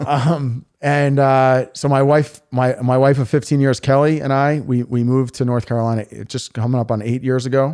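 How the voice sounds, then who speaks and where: On a very clean recording with a silent background, a man with a New York accent speaks at a moderate pace in a dark, mellow tone. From New York City (Queens). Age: 40s. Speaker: local political candidate. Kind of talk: podcast interview.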